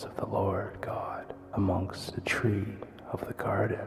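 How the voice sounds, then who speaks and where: Whispering at a fairly slow pace, a man speaks over noticeable background noise. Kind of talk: ASMR bible reading for sleep. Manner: soft-spoken.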